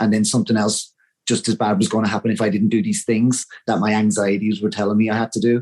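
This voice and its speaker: A man with an Irish accent talks at a very fast pace. His pitch sits in the medium range. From Ireland, Wexford. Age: 40s. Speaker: interview guest sharing mental health story. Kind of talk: interview testimony.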